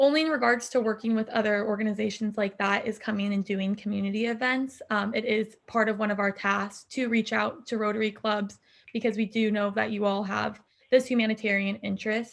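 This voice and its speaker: A woman's fairly high voice with a General American accent, flat and monotone, at a fairly quick pace. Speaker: intern for an anti-poverty nonprofit. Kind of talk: presentation. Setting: video call. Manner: fast.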